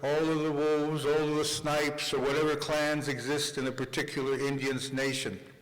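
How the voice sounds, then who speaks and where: A man with a fairly high voice speaks in a flat monotone, with audible room echo and noticeable background noise. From New York City, Manhattan. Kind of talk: conference speech.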